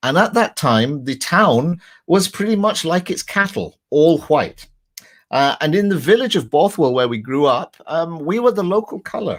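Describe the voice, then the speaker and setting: A man with a high pitch and a Scottish accent, lively intonation, a moderate pace, and a very clean recording with a silent background. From west of Scotland, Lanarkshire. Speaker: crime novelist. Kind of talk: talk with slides.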